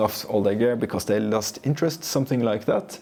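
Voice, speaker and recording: Over noticeable background noise, a man speaks at medium pitch with a Norwegian accent. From Norway. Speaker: photographer and camera gear reviewer. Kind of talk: casual product review. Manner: casual, with fillers.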